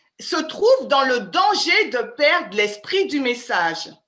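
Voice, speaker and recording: A bright, sharp tone at a very slow pace, with very wide pitch swings and audible room echo. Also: woman. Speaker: Bible study teacher. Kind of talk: interactive Bible study lecture. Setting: video call.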